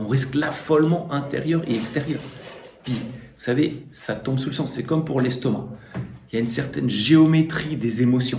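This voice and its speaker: Audible room echo and noticeable background noise surround a man speaking. His pitch is medium with ordinary variation, and his pace is moderate. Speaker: priest giving a talk. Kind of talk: lecture. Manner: casual, with fillers.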